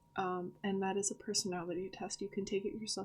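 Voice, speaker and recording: A woman talks at a fairly quick pace and a medium pitch. Her intonation is monotone and flat. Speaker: author discussing her book characters. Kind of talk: casual vlog talk. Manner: stuttering today; hesitant, many fillers.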